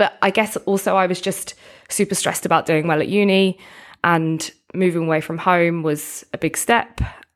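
An unremarkable speaking voice from a woman, fairly low in pitch, at a moderate pace. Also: fairly even intonation. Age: 30s. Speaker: nutrition coach and personal trainer. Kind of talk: interview conversation.

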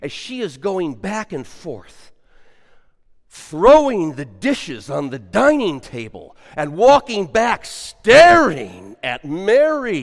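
A man's high-pitched voice at a very slow pace, with very wide pitch swings and big swings in loudness, on a very clean recording with a silent background. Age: 70s. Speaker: pastor. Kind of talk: sermon. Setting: church.

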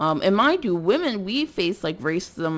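In a very clean recording with a silent background, a woman speaks with an American accent. Her pace is fairly slow. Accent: tone of voice often taken for suburban. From North Philadelphia, US. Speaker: podcaster. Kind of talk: casual monologue. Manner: rambling, frequent fillers and laughs.

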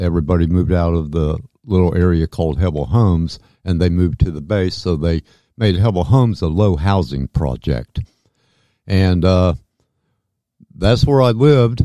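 At a moderate pace with long, frequent pauses, a dark, mellow voice speaks in a Midwestern US accent, the sound dry and close with no echo and the recording very clean against a silent background. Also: man, very deep, low pitch for a man, lively intonation. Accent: US Midwest. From southwest Ohio (Dayton/Fairborn). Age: 60s. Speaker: alien abduction experiencer. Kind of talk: interview testimony. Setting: studio.

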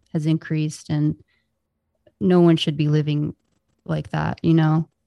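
A woman's very deep, low voice with a dark, mellow tone and an American accent, at a moderate pace, with a dry, close sound and no echo. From Southern California. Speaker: podcast host. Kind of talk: casual chat.

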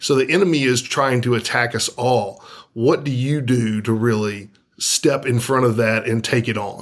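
A normal speaking voice from a man with an American accent, medium pitch, ordinary pitch variation and a moderate pace. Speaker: podcast co-host. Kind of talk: casual interview.

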